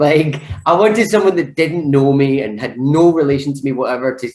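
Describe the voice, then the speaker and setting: The speaker talks at a fairly quick pace in a Scottish accent. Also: man. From Scotland, Glasgow. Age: 20s. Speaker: actor. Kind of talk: casual chat. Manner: animated.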